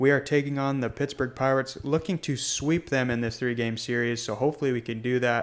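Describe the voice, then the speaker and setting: Here a man talks at a fairly quick pace. His medium-pitched voice has fairly even intonation. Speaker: gaming youtuber. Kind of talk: gameplay commentary. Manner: fast; many filler words.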